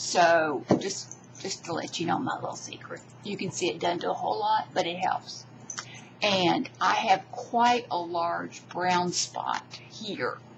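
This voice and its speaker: Lively intonation moves through fairly slow speech set against noticeable background noise. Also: woman, fairly low pitch for a woman. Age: 60s. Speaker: beauty vlogger. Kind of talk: tutorial. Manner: halting.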